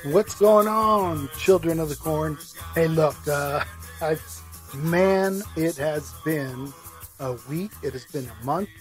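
A man at a very slow pace with ordinary pitch variation, in a dry sound with no echo and faint music in the background. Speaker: podcast host. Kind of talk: casual podcast commentary. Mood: concerned, opinionated.

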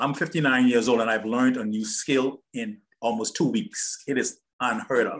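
In a quiet background, a man speaks at a moderate pace with ordinary pitch variation. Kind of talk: testimonial chat. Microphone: video call.

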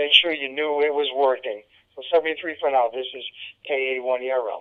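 A man with a New England accent speaks at a medium pitch in a clear, smooth tone.

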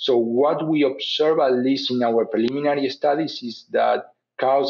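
Speaking at a fairly slow pace, a man with a Spanish accent uses a fairly high pitch and fairly even intonation. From Uruguay. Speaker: animal genetics professor. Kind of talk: interview. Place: home room. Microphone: webcam.

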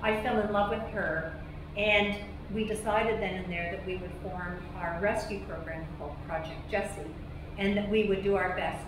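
Noticeable background noise and audible room echo surround a woman as she talks. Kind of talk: address to cast and crew, personal story. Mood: earnest, emotional storytelling. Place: stage.

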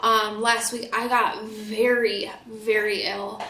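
Speaking slowly in an American accent, a woman has a fairly high pitch, a bright, sharp tone and little pitch movement, with audible room echo around her.

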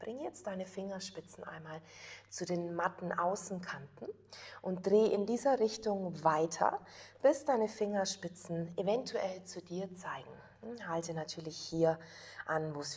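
Speaking at a fairly slow pace, a woman shows big swings in loudness and ordinary pitch variation. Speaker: yoga teacher. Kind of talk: guided yoga instruction. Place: home room. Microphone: lapel.

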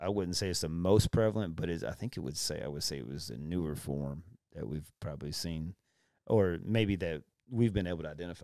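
A man with a Texan accent, very deep and low in pitch, at a fairly quick pace, on a very clean recording with a silent background. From Texas, Brazoria County. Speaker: county sheriff. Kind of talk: casual interview.

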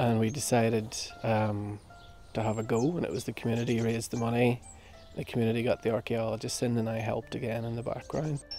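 With faint music behind him, a man speaks at a moderate pace with fairly even intonation in a dry sound with no echo. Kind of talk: interview answer. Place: garden. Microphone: lapel.

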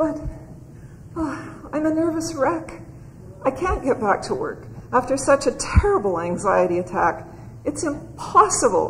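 In a put-on character voice, high-pitched and shaky with very wide pitch swings, the speaker goes at a fairly slow pace over clear background noise.

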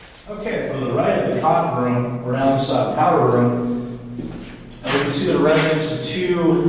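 Strong room echo and noticeable background noise surround a man speaking at a moderate pace. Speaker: site tour guide. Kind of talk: guided tour commentary. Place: empty room.

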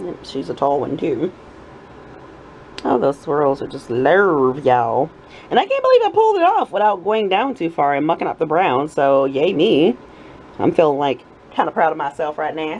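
Speech moves at a moderate pace. Long pauses come often. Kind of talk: casual craft vlog chat. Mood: cheerful, proud. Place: workshop.

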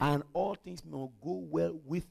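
The voice belongs to a man with an animated tone. He speaks at a fairly slow pace against a quiet background. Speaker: pastor. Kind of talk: sermon. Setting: church. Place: church. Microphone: headset.

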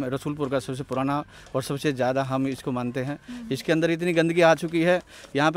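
A man's fairly high voice at a moderate pace, with a dry sound and no echo. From Delhi, India (village). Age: 40s. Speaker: villager; interviewee. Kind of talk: interview. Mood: complaining, earnest. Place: street. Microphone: handheld.

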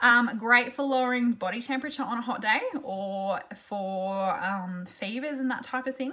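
Against a quiet background, a woman with an Australian accent speaks at a moderate pace in a high pitch, with ordinary pitch variation and hardly any pauses. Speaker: essential oil seller and blogger; essential oil seller, blogger. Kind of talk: tutorial. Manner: casual, chatty with fillers. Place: home room. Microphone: webcam.

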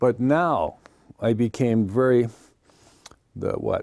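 Against a quiet background, a man speaks with a dark, mellow tone and ordinary pitch variation. The sound is dry, with no echo. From Philadelphia, US. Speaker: macrobiotics teacher. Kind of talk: TV interview. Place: studio. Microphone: lapel.

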